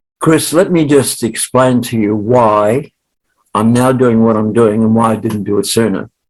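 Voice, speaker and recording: A man with an Australian accent and a medium pitch. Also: ordinary pitch variation, moderate pace. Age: 70s. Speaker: sales trainer and author. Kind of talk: interview.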